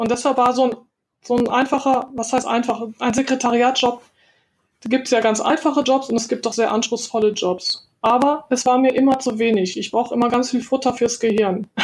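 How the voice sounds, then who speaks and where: A woman speaks at a moderate pace in a high voice, her intonation monotone and flat. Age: 50s. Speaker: virtual assistant, former translator. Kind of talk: interview.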